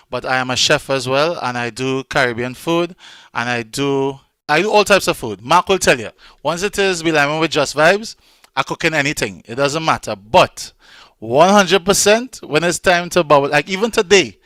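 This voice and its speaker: A man with a strong Trinidadian accent speaks in a bright, sharp, fairly high voice at a moderate pace with lively intonation. The sound is dry and close with no echo, and the recording is very clean with a silent background. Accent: Trinidadian, still strong. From Trinidad and Tobago. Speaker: event co-host, radio DJ and chef. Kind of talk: casual chat.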